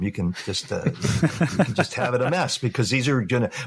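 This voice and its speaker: Lively intonation and a somewhat breathy tone come through in a Californian accent. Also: man. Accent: General American, Californian. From Los Angeles, US West Coast. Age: 60s. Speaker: real estate photographer. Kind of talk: podcast interview. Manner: halting, many fillers.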